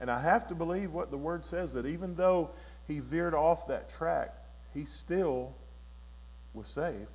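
Amid audible room echo, a man with a Southern US accent talks at a moderate pace with long, frequent pauses. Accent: Southern US (Georgia). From US South, Georgia. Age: 60s. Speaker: guest preacher. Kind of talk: sermon; testimony.

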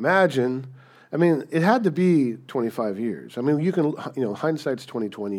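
Speaking at a moderate pace, a man with a fairly high pitch makes very wide pitch swings in a very clean recording with a silent background. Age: 50s. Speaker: pastor. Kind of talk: sermon.

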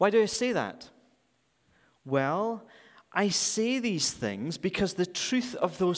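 A man with a Scottish accent at a very slow pace. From Scotland. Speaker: guest preacher for a charity. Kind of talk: sermon. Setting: church.

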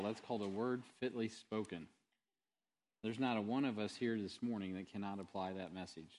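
Against a quiet background, a man with a Midwestern US accent speaks at a moderate pace. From Missouri, Sibley. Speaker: pastor. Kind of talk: church announcements. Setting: church. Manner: casual.

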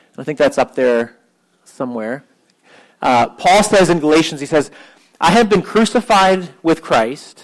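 With a plain, everyday voice, a man speaks at a moderate pace, his fairly high pitch moving in lively intonation. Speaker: pastor. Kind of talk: sermon; guided prayer meditation. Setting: church with congregation and piano.

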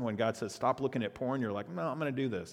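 A man talks with a Texan accent. His pitch varies in an ordinary way. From South Texas, Padre Island area. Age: 50s. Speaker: pastor. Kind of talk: sermon.

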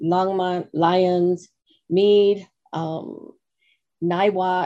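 A dark, mellow tone comes through. The intonation holds fairly even. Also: woman. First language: English (speaking Spanish). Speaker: nonprofit executive director. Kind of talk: radio interview. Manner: halting.

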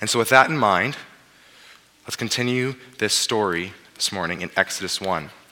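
The speaker has a Western Canadian accent. Pitch variation is ordinary. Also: man. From British Columbia, Canada (Abbotsford). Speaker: pastor. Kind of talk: sermon. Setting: church.

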